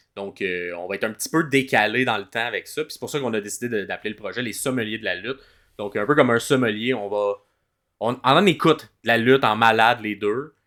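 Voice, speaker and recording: A man with a Quebec accent speaks at a medium pitch and a fairly quick pace, his tone bright and sharp and his pitch varying in an ordinary way, on a very clean recording with a silent background. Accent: Québécois French. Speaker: podcast co-host and comedian. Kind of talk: casual podcast chat.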